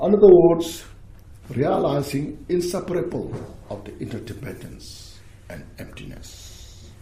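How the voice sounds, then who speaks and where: A man with a non-native accent speaks at a fairly slow pace in a high voice, with lively intonation and big swings in loudness. Noticeable background noise and audible room echo fill the recording. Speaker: Buddhist teacher. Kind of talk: dharma teaching with Q&A. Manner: halting.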